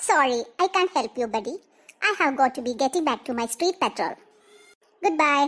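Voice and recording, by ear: In a cartoonish character voice, a woman speaks high-pitched with lively intonation at a moderate pace. Her pauses are long and frequent.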